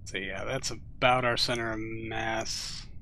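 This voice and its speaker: In an American accent, a man speaks at a fairly slow pace with a bright, sharp tone and monotone, flat intonation, with audible room echo. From US Midwest. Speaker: gaming live streamer. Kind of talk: live gameplay commentary. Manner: casual, rambling, filler-heavy.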